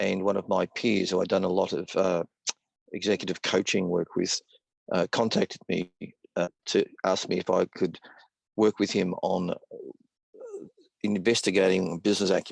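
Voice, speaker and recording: Delivered at a moderate pace with long, frequent pauses, the voice stays monotone and flat in a dry, close sound with no echo. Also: man, very deep, low pitch for a man. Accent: Australian. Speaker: business consultant. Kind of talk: webinar presentation.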